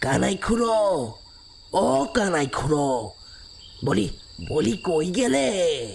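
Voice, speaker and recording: A man puts on a character voice, fairly high in pitch with very wide pitch swings. He goes at a very slow pace over clear background noise. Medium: audio drama. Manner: folksy, chatty.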